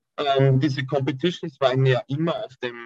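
A somewhat breathy voice at a moderate pace, dry and close with no echo. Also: man. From Austria. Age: 20s. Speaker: calisthenics athlete. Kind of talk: interview.

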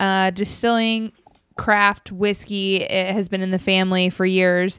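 Over a very clean recording with a silent background, a woman with a plain, everyday voice talks at medium pitch and a fairly slow pace. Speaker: podcast host. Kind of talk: casual chat.

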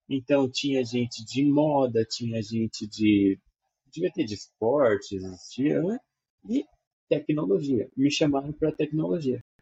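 Talking at a fairly slow pace, a man uses lively intonation at a medium pitch. His voice is somewhat breathy. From Brazil, Maringá, Paraná. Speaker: software developer, teacher and cartoonist. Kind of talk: casual interview.

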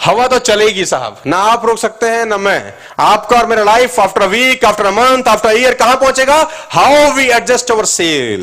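Noticeable background noise sits behind a man with an extremely high pitch. He talks at a moderate pace with ordinary pitch variation. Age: 30s. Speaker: motivational speaker. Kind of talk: motivational seminar talk. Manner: animated.

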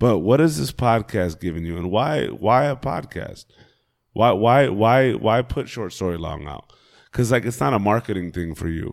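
A man with a fairly low pitch and vocal fry talks at a moderate pace. His tone is animated, with lively intonation. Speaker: podcast co-host, guest. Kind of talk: casual, animated chat. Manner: boisterous, animated.

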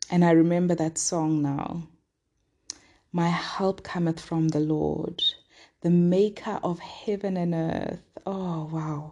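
Very slowly and with long, frequent pauses, a woman with a Lesotho accent speaks at a fairly low pitch in a dark, mellow tone, her intonation monotone and flat. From southern Africa, Sesotho-speaking. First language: Sesotho. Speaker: devotional podcast host. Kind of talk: daily devotional teaching.

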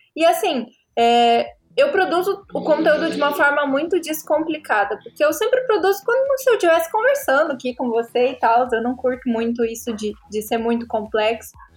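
A woman talks at a moderate pace, her high pitch swinging very widely. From Brazil, Paraná. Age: 20s. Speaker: graphic designer and content creator. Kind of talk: casual interview chat.

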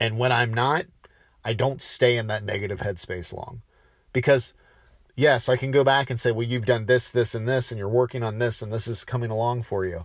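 On a very clean recording with a silent background, a man speaks somewhat breathily at a medium pitch, a fairly quick pace and with fairly even intonation. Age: 30s. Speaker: podcast host. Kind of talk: solo podcast monologue. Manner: casual, with filler words.

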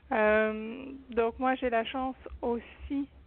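A woman is speaking. Her voice is high-pitched. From France. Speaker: shamanic practitioner. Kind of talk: testimony.

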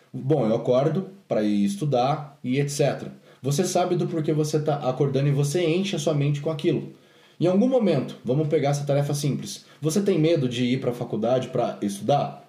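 Somewhat breathy and fairly high in pitch, a man talks at a fairly quick pace with ordinary pitch variation amid audible room echo. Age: 20s. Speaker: podcast host and fitness business owner. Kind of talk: casual chat.

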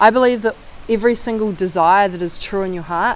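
With a New Zealand accent, a woman talks at a medium pitch with ordinary pitch variation against noticeable background noise. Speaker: former marketing agency owner. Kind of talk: podcast interview. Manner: animated.

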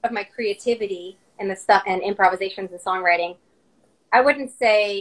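A woman of medium pitch uses a normal speaking voice at a moderate pace, her intonation fairly even but her loudness swinging widely. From Russia, moved to US at six. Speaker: singer-songwriter and violinist. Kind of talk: interview.

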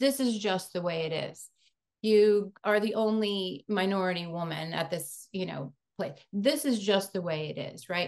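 With an ordinary speaking voice, a woman talks at a moderate pace, medium pitch, and ordinary pitch variation. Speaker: podcast host. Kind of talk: podcast interview.

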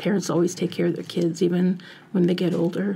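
This woman's voice is somewhat breathy, with a dark, mellow tone and a fairly low pitch. Her intonation stays monotone and flat over a very clean recording with a silent background. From Italian family background. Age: 50s. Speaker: family caregiver. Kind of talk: interview. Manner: halting.

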